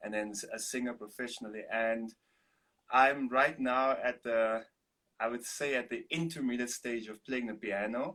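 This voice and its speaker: With a South African accent, a man speaks at a moderate pace and medium pitch, his tone bright and sharp and his intonation fairly even. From Namibia. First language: Afrikaans. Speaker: singer-songwriter and artist. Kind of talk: interview.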